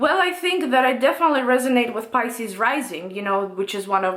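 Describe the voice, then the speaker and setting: Over noticeable background noise, a woman with a non-native accent talks at a fairly quick pace. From Russia. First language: Russian. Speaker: tarot reader and astrology YouTuber. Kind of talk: casual Q&A monologue. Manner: hesitant, many fillers.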